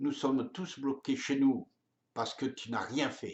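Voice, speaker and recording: A man speaks with fairly even intonation. His pitch sits in the medium range. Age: 70s. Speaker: political activist. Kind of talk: open letter addressed to the president. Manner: angry, impassioned.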